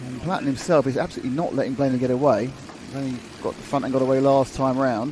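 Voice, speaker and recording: Over noticeable background noise, a man speaks very fast at a medium pitch in a monotone, flat intonation. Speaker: motorsport commentator. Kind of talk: live commentary.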